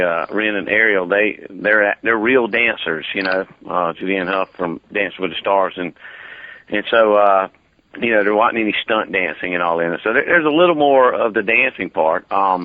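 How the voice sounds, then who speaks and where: A man speaks with a Southern US accent at a fairly low pitch. His pitch variation is ordinary. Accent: Southern drawl. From US South, Georgia. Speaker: actor. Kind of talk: interview. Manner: halting.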